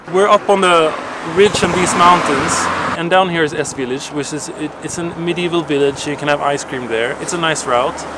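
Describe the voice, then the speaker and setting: Fairly high male voice at a moderate pace, with ordinary pitch variation and noticeable background noise. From Sweden. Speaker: cycling vlogger. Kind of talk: casual vlog chat.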